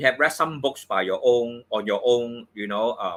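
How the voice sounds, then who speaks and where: With a Cantonese accent, a man speaks at a moderate pace and medium pitch on a very clean recording with a silent background. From Hong Kong. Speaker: feng shui and astrology teacher. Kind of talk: course promotion talk on live stream. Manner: halting, many fillers.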